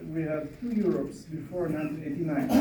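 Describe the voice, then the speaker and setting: A man speaks with a fairly high pitch and ordinary pitch variation. Room echo can be heard. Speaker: conference speaker on migration. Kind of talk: panel Q&A answer.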